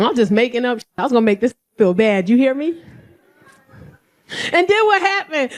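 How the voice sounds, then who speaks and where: Her tone animated, a woman speaks at a moderate pace with very wide pitch swings. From New York, South Bronx. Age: 40s. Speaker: comedian. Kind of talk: stand-up. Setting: stage with audience.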